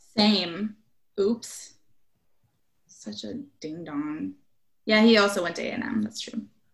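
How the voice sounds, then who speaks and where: Speaking very slowly with an American accent, a woman shows vocal fry, big swings in loudness, and long, frequent pauses. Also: medium pitch for a woman, ordinary pitch variation. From Nebraska. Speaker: political activist. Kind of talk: casual chat.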